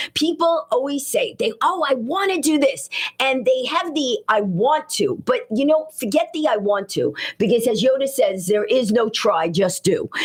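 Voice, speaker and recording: Noticeable background noise sits behind a woman speaking with an American accent. Her pitch is high and swings very widely, while her loudness stays very even. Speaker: stand-up comedian and author. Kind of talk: radio interview. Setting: radio studio. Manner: very fast; animated.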